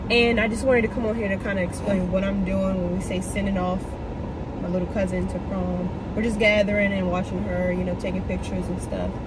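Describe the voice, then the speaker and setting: Loud background noise sits behind the recording. A woman speaks at a fairly quick pace. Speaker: vlogger. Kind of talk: casual vlog chat. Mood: nostalgic, upbeat. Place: car.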